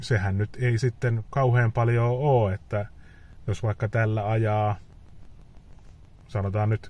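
Slow and flat, a man's fairly low, dark, mellow voice comes out somewhat breathy in monotone. There is light background noise, and the sound is dry with no echo. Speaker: EV owner vlogger. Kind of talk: casual vlog chat. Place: car. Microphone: phone near.

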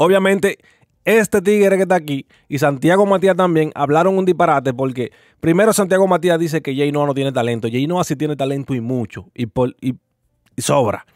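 The speaker talks at a fairly quick pace with lively intonation, and the sound is dry with no echo against a quiet background. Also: man. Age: 20s. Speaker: youtuber reacting to clips. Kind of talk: casual commentary monologue. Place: home room. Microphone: studio mic.

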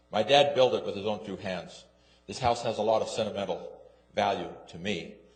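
A man with an American accent talks, and audible room echo hangs around his words. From West Jordan, Utah. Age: 70s. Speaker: resident speaking at public hearing. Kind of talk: public comment at city council. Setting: city council meeting. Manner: halting.

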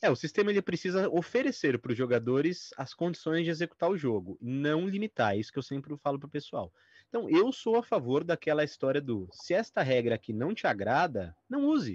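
A man's fairly high, somewhat breathy voice with very wide pitch swings and hardly any pauses, dry with no echo against a quiet background. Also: fairly quick pace. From Brazil. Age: 30s. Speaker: tabletop RPG author; guest. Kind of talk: interview. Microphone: video call.

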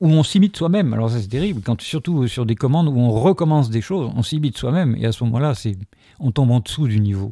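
A man with a dark, mellow tone speaks very fast, with lively intonation. The recording is very clean, with a silent background. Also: medium pitch for a man. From Algeria, then France. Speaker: sculptor, former philosophy teacher. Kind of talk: interview. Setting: his gallery-workshop.

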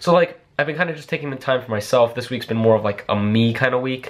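Lively intonation runs through the man's speech. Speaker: vlogger. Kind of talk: casual vlog chat. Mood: reflective, earnest. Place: home room. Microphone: phone near.

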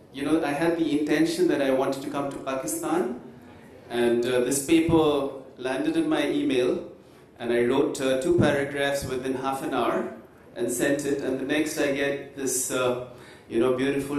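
A man talks at a moderate pace, with audible room echo and light background noise in the recording. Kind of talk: conference presentation. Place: hall.

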